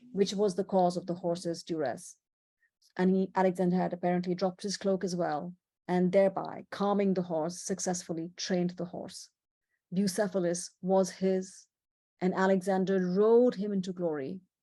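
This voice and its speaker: Over a quiet background, a woman with an Indian accent speaks at a medium pitch and a moderate pace, her dark, mellow tone held in monotone, flat intonation. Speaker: presenter. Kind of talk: illustrated presentation. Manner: conversational.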